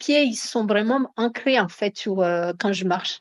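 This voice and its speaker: Here a woman talks at a very slow pace with ordinary pitch variation. The sound is dry and close, with no echo. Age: 40s. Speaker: product user giving testimonial. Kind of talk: interview testimony. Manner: hesitant, many fillers.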